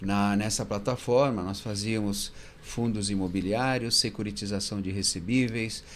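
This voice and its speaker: With audible room echo, a man speaks at a fairly slow pace in a fairly low pitch and fairly even intonation. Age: 60s. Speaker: fund manager. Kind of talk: interview.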